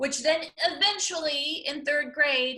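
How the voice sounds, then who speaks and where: With an American accent, a woman speaks in a raised, projected voice. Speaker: comedian. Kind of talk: interview. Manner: stutter.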